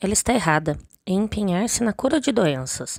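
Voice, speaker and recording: The recording is dry and close, without any echo. This woman's pitch swings very widely as she speaks. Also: very clean recording, silent background. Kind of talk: religious teaching reading.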